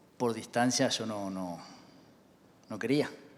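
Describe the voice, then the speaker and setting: A man with a Uruguayan accent. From Uruguay, Canelones. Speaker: church member giving testimony. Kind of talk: testimony.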